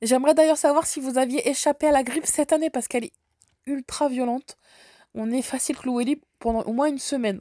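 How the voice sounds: A woman with a high pitch and a dark, mellow tone talks at a fairly quick pace. Her intonation is fairly even, and the sound is dry and close with no echo.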